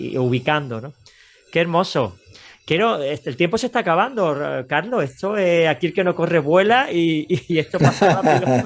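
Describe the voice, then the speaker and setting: Here a man speaks at a high pitch and a moderate pace. His intonation is lively. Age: 50s. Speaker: radio host. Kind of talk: interview.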